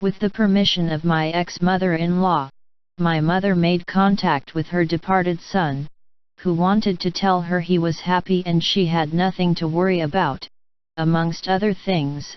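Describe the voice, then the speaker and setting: This is a put-on character voice pitched in the middle range. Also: moderate pace. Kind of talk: spooky storytelling. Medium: read story. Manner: measured, somber.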